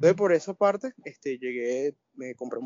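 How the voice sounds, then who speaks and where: This man speaks in a fairly high pitch with ordinary pitch variation. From Venezuela. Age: 20s. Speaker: audio engineering student and migrant. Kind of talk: casual interview chat. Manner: halting, many fillers.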